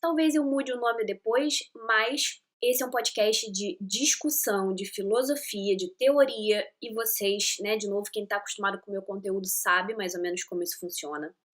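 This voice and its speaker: A woman speaks with a Rio de Janeiro accent at a fairly high pitch. Her intonation is lively. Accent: Carioca. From Rio de Janeiro, Brazil. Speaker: podcast host. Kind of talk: casual podcast monologue. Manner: chatty, enthusiastic.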